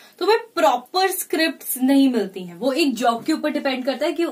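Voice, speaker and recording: A woman talks with very wide pitch swings. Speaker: radio jockey. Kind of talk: interview answer. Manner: mixes Hindi and English.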